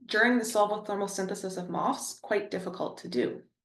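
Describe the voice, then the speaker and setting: In an audible room echo, a woman talks with a Canadian accent. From Ontario, Canada. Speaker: chemistry professor. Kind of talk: lecture. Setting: webinar.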